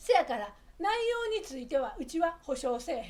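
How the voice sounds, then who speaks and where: The pitch swings very widely. The speaker has an Osaka accent. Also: woman. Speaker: Japanese dialect teacher. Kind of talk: casual talk to camera, language lesson.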